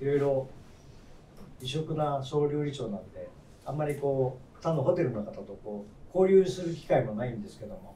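With audible room echo, a man with a fairly high voice speaks at a moderate pace, his loudness swinging widely and long pauses coming often. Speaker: hotel executive chef. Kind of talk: roundtable discussion. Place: cafe.

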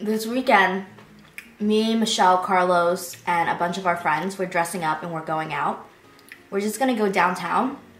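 A woman speaks at a moderate pace, and audible echo from the room surrounds her voice. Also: ordinary pitch variation. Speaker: food vlogger. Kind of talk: casual vlog chat. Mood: cheerful, excited. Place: home room.

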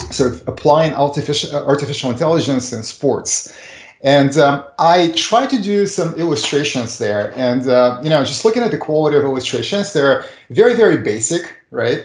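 Somewhat breathy, a man's voice carries audible room echo. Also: moderate pace, quiet background. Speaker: remote guest. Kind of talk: interview answer. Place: home room. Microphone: video call.

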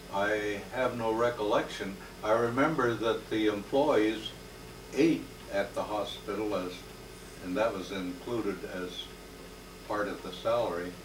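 Over noticeable background noise, a man with a fairly low pitch speaks at a fairly slow pace, with ordinary pitch variation and long, frequent pauses. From Northern California. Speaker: retired hospital worker; interviewee. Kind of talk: elder life story, reflective oral history recollection. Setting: home interview. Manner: unhurried, reminiscing, with frequent filler pauses; warm, sincere, affectionate. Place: home room. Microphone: old recording.

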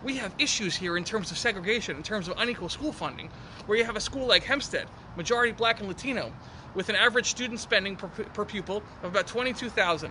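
A man's high voice in an American accent at a very fast pace, with ordinary pitch variation and light background noise. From New York. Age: 20s. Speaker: county legislator. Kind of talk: interview. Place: garden.

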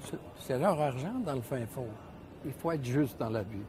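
The recording of a man at a medium pitch has a dry sound with no echo and light background noise. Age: 70s. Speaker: ski shop owner. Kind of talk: interview. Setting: studio. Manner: halting. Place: shop.

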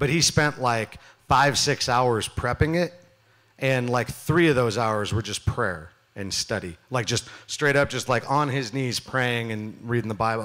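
A man talks at a moderate pace with lively intonation. The background is quiet. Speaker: youth pastor. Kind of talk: sermon. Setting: church stage with audience. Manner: loud; animated. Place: stage. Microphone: handheld.

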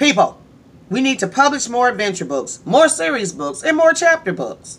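In a put-on character voice, a man speaks with extremely high pitch. His voice is raised and projected. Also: moderate pace. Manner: bossy.

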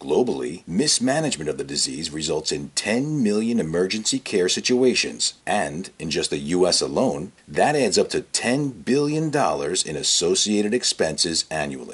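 A man talks at a moderate pace. He leaves hardly any pauses. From United States. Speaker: voice actor. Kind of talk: corporate narration. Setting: studio. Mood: warm, reassuring narration. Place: studio. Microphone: studio mic.

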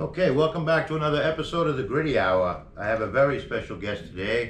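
A man at a fairly high pitch and very fast pace, with lively intonation, audible room echo and light background noise. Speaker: podcast host. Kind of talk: casual interview questions. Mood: friendly, relaxed, laughing. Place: office.

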